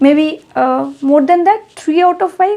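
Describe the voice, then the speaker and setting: Someone speaks with a Bengali accent and lively intonation. The pace is very slow. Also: woman. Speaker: English teacher. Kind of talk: tutorial. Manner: code-switching Bengali and English; halting, self-correcting.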